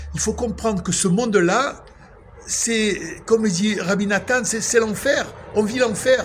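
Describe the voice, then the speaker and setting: Over noticeable background noise, a man with a high pitch speaks at a very slow pace with fairly even intonation. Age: 60s. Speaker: religious vlogger. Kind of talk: spiritual monologue. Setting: outdoors at sunset. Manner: emotional, emphatic.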